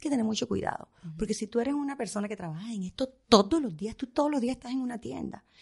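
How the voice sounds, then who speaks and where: The speaker talks at a very fast pace with lively intonation and a somewhat breathy quality. Loudness swings widely from moment to moment. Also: woman, fairly high pitch for a woman. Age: 50s. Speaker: fashion stylist. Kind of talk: interview.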